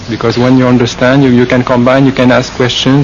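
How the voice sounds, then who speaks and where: Against noticeable background noise, a man with a slight French Canadian accent speaks at a medium pitch. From Quebec. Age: 40s. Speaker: Buddhist monk. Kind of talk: interview. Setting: forest meditation retreat. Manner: halting, many fillers.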